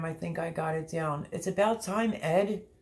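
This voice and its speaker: Somewhat breathy, a woman speaks at a fairly low pitch and a fairly slow pace with ordinary pitch variation. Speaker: livestreamer. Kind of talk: casual chat.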